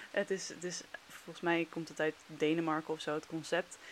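The voice sits at a fairly low pitch. It belongs to a woman. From Netherlands. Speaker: former teacher in China. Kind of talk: casual chat.

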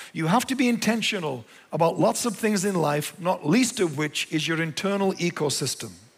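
A man speaks at a moderate pace in an English accent. His pitch is high. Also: lively intonation. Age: 60s. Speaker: pastor. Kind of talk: sermon. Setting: church.

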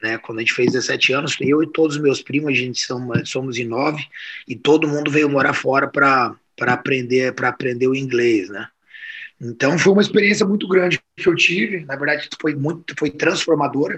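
Here a man talks at a fairly quick pace with a fairly high pitch and ordinary pitch variation. It is an ordinary speaking voice. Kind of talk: casual interview chat.

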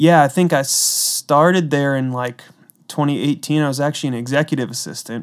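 A man with an ordinary speaking voice talks at a fairly quick pace, his pitch fairly high and his intonation fairly even. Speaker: guest, music mixing engineer. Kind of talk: casual interview.

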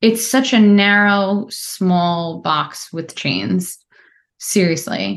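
Very slow speech from a woman, medium in pitch, with ordinary pitch variation. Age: 30s. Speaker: therapist. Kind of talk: casual interview chat. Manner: articulate.

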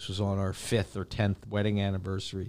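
The recording is very clean and the background silent. It carries a man with an American accent. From Pennsylvania, US. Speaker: professor. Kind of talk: casual chat. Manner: talkative.

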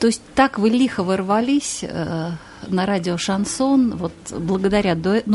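Over noticeable background noise, a woman speaks fairly slowly at medium pitch with ordinary pitch variation. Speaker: radio host. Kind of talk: radio interview.

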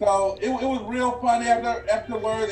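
Against noticeable background noise, a man speaks at a fairly quick pace with monotone, flat intonation. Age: young. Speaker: comedian and writer. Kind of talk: casual interview chat. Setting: video call.

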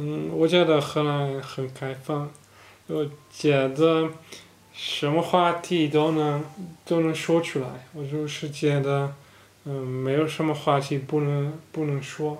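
A man speaks very slowly with a Dutch accent. His fairly high voice stays monotone and flat. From Netherlands. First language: Dutch (speaking Chinese). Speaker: podcast co-host. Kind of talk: casual chat. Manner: halting, many fillers.

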